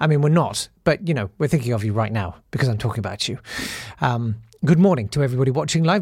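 On a very clean recording with a silent background, a man speaks in a somewhat breathy voice with very wide pitch swings. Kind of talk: casual chat. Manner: rambling, self-deprecating, hesitant.

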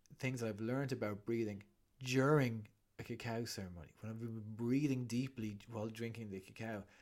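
At a medium pitch, a man speaks at a moderate pace. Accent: Irish. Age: 40s. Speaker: breathwork facilitator and author. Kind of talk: casual interview chat.

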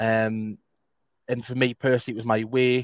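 A man speaks at a fairly quick pace in a medium pitch with monotone, flat intonation. The sound is dry and close, with no echo. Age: 30s. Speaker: podcast host. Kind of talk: casual chat. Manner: stuttering.

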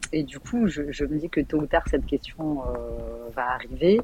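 Speaking at a fairly slow pace, the woman has a very deep, low pitch. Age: 40s. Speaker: caller to a relationship advice show. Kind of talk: casual chat. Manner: halting.

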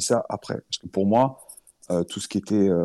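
A man's fairly low, dark and mellow voice at a moderate pace, with a slight southern French accent. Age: 40s. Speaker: firefighter and crypto investor. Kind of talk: interview. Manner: halting.

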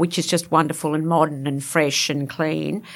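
A woman's fairly low voice in a very clean recording with a silent background. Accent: Australian. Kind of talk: casual interview chat. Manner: animated, excitable.

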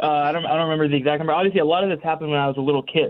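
Speaking with a US Northeastern accent, a man has a fairly high pitch. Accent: US Northeast. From Connecticut. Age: 20s. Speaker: para rower. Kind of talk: interview.

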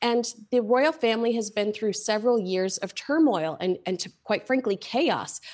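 In a plain, everyday voice, the speaker has an American accent and ordinary pitch variation. The pace is moderate, with hardly any pauses. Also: woman, fairly high pitch for a woman. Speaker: royal commentator. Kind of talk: casual chat.

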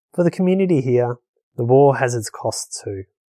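Dark and mellow in tone, a man's voice moves with lively intonation, recorded dry and close with no echo on a very clean track with a silent background. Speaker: refugee resettled in Australia. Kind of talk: personal testimony.

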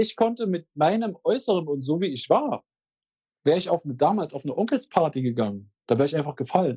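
A man talks fairly quickly in a fairly high pitch with a dark, mellow tone and very wide pitch swings. The sound is dry and close, with no echo. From Magdeburg, eastern Germany. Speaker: musician, singer. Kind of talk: interview.

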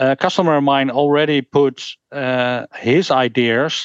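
A man with a Dutch accent speaks at a fairly high pitch with fairly even intonation. The sound is dry and close with no echo, over a quiet background. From Netherlands. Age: 50s. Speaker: game designer and rules author. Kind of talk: interview. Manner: halting.

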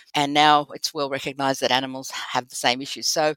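With an Australian accent, the speaker moves at a fairly quick pace in a bright, sharp tone, captured as a very clean recording with a silent background and a dry, close sound with no echo. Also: woman. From Sydney, Australia. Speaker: veterinary behaviorist. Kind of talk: interview.

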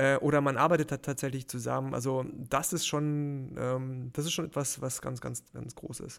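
A man keeps a moderate pace in a very clean recording with a silent background. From Baden-Württemberg, near Heidelberg. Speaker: freelance motion designer. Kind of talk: casual interview. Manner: hesitant, many fillers.

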